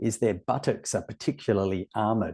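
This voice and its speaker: A man speaks in an Australian accent with a dark, mellow tone. The sound is dry and close with no echo, over a quiet background. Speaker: webinar moderator. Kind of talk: webinar presentation. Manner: animated.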